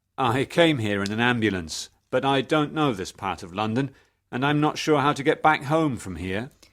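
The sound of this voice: Over a quiet background comes an unforced reading voice. The intonation is lively.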